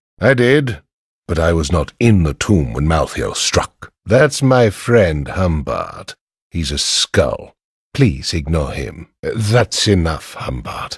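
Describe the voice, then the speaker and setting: A man does a put-on character voice, pitched very deep and low and delivered at a very slow pace. The recording is very clean, with a silent background. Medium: video game. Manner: serious, measured.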